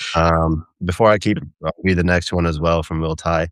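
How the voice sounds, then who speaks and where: At a fairly slow pace, a man speaks in a very deep, low voice with monotone, flat intonation and a dry, close sound with no echo. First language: not English. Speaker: live streamer and AI channel host. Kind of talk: casual chat. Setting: live stream video call.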